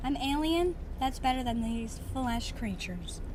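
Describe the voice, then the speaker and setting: Putting on a character voice, a woman speaks high and at a moderate pace against loud background noise. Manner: disdainful.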